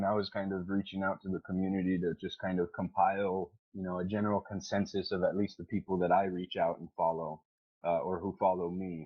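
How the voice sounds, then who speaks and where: Speaking fairly quickly, a man uses a normal speaking voice at a fairly low pitch. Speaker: gaming community organizer. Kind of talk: casual chat.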